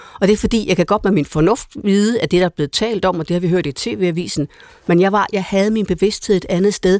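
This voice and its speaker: A woman with a normal speaking voice, medium pitch, and fairly even intonation. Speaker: priest and panelist. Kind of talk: radio panel discussion. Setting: studio. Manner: repetitive, restarts sentences.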